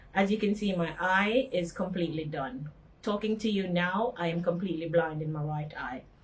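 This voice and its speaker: A woman with a fairly low pitch speaks at a moderate pace with ordinary pitch variation over noticeable background noise. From Jamaica, Montego Bay. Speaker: accident survivor. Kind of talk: testimony. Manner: halting.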